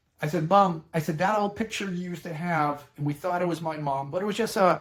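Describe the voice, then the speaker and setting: A man speaks with a Boston accent at a high pitch. He goes very fast with fairly even intonation. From Boston, Massachusetts (Dorchester). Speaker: elder law attorney. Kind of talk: educational talk with personal anecdote. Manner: conversational, plain-spoken.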